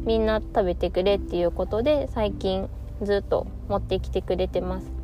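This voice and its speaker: Room echo is audible around the woman's voice. She keeps a moderate pace. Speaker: podcaster attending vocational training. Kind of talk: solo monologue podcast. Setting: recorded on the way home.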